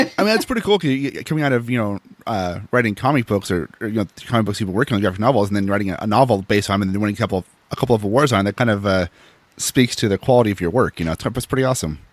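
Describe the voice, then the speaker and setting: Very fast and fairly low-pitched, a man with an American accent speaks with ordinary pitch variation in a dry, close sound with no echo. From Seattle. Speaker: podcast host. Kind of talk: casual interview.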